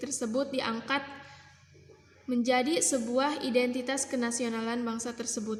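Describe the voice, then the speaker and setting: A high-voiced woman with a West Javanese accent talks at a fairly slow pace with fairly even intonation, audible room echo around her. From Indonesia, West Java (Kuningan). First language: Sundanese (speaking Indonesian). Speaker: university student. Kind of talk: class assignment presentation.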